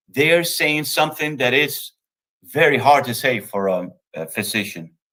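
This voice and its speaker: A man with a Spanish accent speaks at a moderate pace, his fairly high voice carrying lively intonation. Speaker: think tank executive director. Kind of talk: lecture. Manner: halting.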